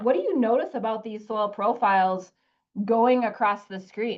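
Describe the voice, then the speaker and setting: A woman speaks in a fairly high voice with a Wisconsin accent. Her pace is moderate. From US Midwest, Wisconsin. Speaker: soil scientist, extension specialist. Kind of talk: webinar lecture. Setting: online webinar. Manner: casual with frequent fillers.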